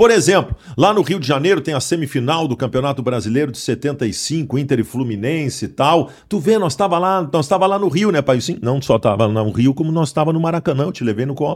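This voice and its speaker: A man with an unremarkable speaking voice talks fairly quickly, at a fairly high pitch and with lively intonation, hardly pausing. The recording is very clean, with a silent background. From southern Brazil, Porto Alegre. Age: 40s. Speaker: sports journalist. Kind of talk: casual chat.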